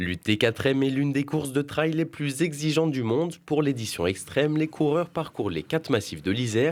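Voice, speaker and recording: At a moderate pace, a man speaks with medium pitch. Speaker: TV news reporter. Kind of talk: TV news report narration.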